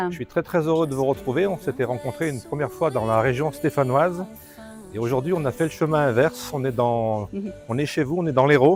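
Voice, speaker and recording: With music in the background, a man speaks fairly quickly at a fairly high pitch, with ordinary pitch variation. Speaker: volunteer radio interviewer. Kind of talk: radio interview questions. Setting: outdoors.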